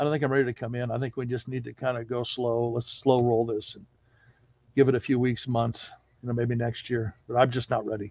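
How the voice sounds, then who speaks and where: Speaking at a fairly quick pace in an American accent, a man keeps a monotone, flat intonation, with a dry sound free of echo and a quiet background. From Southern California (Orange County); Southern California. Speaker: interview guest. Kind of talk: testimony. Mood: warm reflective storytelling. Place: home room. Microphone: headset.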